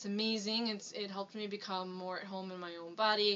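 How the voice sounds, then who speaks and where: Her intonation is fairly even. This woman speaks at a fairly quick pace. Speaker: business owner. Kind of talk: casual vlog talk to camera. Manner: monotone.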